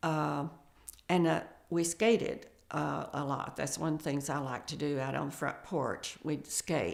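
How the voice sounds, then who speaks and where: A woman's very deep, low voice with vocal fry, fairly slow and fairly even in intonation. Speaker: family elder recalling childhood. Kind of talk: oral history interview. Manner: halting, with frequent fillers.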